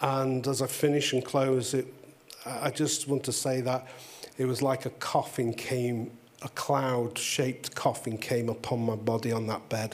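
Over noticeable background noise, a man with an English accent talks at a fairly slow pace in a medium pitch with monotone, flat intonation. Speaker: pastor. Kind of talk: testimony. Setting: stage with audience.

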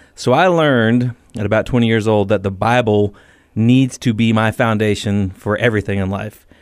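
Over a silent background in a very clean recording, a man talks at a moderate pace in an ordinary speaking voice, fairly low in pitch with ordinary pitch variation. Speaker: author and former Marine. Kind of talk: radio interview.

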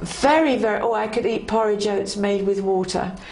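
Over noticeable background noise, a woman at medium pitch talks at a fairly slow pace. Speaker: Bible teacher. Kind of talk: devotional teaching. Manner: warm, enthusiastic.

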